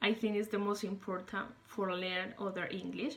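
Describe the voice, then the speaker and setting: In a Spanish accent, a woman of medium pitch speaks at a fairly slow pace. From Colombia. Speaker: English learner, former English teacher. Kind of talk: self-recorded interview monologue. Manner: halting, with many fillers.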